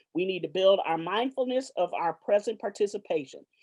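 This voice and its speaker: A woman of medium pitch talks at a very fast pace with a slight Southern US accent. The sound is dry and close with no echo, against a quiet background. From Los Angeles, California. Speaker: professor. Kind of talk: formal introduction. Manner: hesitant, frequent fillers.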